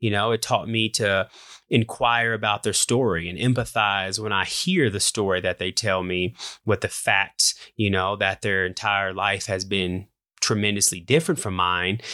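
This man speaks at a moderate pace with an American accent, his pitch fairly low and his intonation fairly even. His tone is bright and sharp, and the very clean recording has a dry, close sound with no echo and a silent background. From US Midwest, Indianapolis, Indiana. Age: 30s. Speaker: podcast host. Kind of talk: personal monologue.

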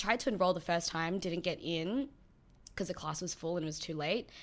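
A bubbly, energetic woman with an Australian accent and a fairly low pitch, on a very clean recording with a silent background. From born in New Zealand, Filipino heritage. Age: 20s. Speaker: nail technician. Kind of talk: casual interview. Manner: talks through a smile.

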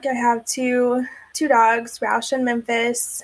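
High-pitched woman's voice with an Oklahoma accent, flat and monotone in intonation. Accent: Oklahoma American. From Oklahoma City, US. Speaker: domestic abuse survivor. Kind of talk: testimony.

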